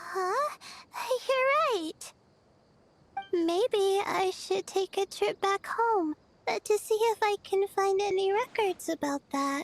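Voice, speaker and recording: Using a put-on character voice at an extremely high pitch, a woman speaks very slowly with lively intonation and long, frequent pauses. The sound is dry and close, with no echo. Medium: video game. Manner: hesitant, stammering.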